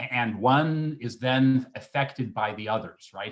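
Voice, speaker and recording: Fairly even intonation from a man at a medium pitch. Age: 60s. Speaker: public health professor. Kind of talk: panel discussion. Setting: video call. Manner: halting, many fillers.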